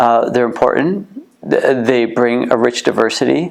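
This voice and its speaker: Noticeable background noise surrounds a man with a Canadian accent speaking at a moderate pace. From Canada, Ontario (Kitchener area). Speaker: museum co-founder and former boxer. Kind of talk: interview. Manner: halting, many fillers and repeats.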